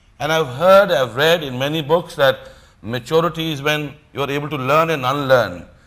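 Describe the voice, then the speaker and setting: With a strong Punjabi accent, a man of fairly high pitch speaks at a moderate pace with ordinary pitch variation. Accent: strong Punjabi Indian English. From India. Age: 50s. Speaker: motivational speaker. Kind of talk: motivational talk.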